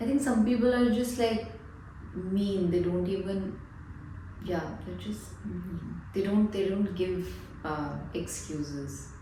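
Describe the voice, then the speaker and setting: Audible room echo and noticeable background noise accompany this woman as she speaks. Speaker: counselling psychologist. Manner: slow; hesitant, many fillers.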